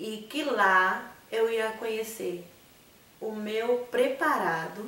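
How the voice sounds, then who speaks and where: Against noticeable background noise and audible room echo, a woman with a Bahian accent speaks with ordinary pitch variation. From Bahia, Brazil (Conceição do Coité). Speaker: missionary. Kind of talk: testimony. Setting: studio.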